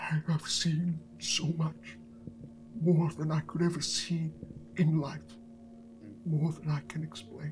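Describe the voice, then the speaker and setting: A man talks at a fairly slow pace in a put-on character voice, leaving long, frequent pauses. Background noise is clearly audible. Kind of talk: game master voicing villain NPC. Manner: cold, formal, unsettling; brooding, regretful.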